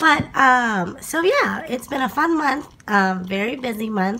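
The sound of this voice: Speaking at a fairly slow pace, a woman has a bright, sharp tone, lively intonation and a fairly high pitch.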